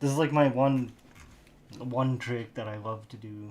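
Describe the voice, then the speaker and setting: A man speaks quietly at a moderate pace. His intonation stays fairly even. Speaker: livestreamer doing 3D modeling. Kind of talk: casual live-stream commentary while working. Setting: live stream. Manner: talking quietly; rambling, halting self-talk.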